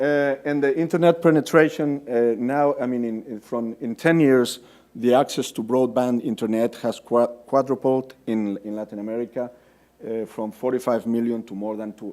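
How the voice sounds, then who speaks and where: A man with a Spanish accent, a dark, mellow tone, medium pitch, fairly even intonation and a moderate pace. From Spain. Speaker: development finance officer. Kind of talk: conference presentation. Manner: hesitant, many fillers and repetitions.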